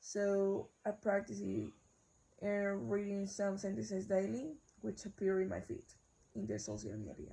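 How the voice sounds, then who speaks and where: A woman talks with a Spanish accent. She speaks at a fairly slow pace. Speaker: university student. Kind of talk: class assignment video, answering questions. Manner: halting, self-correcting.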